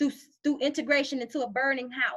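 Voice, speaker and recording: With a bright, sharp tone and a high pitch, a woman speaks in a raised, projected voice at a moderate pace, sounding animated. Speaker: motivational live streamer. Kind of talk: live stream talk.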